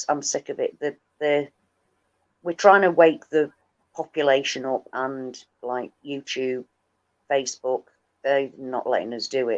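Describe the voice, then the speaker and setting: A woman with a northern English accent, very deep and low in pitch, with long, frequent pauses. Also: fairly slow pace, dry, close sound with no echo. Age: 50s. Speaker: livestream host and activist. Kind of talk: casual chat. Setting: livestream.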